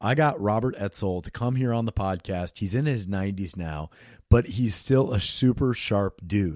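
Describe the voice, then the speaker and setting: Ordinary pitch variation in a Midwestern US accent, with dry, close sound, no echo, and a very clean recording over a silent background. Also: man. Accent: US Midwest. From Iowa. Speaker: podcast host. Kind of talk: podcast intro monologue. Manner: casual.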